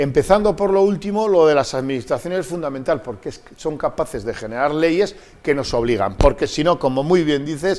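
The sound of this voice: A man talks at a fairly quick pace with few pauses, his fairly high pitch carrying lively intonation and a slightly mellow tone.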